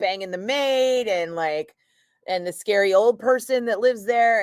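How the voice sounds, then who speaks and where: In a Northern California accent, this animated voice moves at a moderate pace with ordinary pitch variation, captured as a very clean recording with a silent background and a dry, close sound with no echo. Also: woman. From San Francisco Bay Area, Fairfield. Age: 50s. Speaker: radio DJ. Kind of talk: casual live-stream chat.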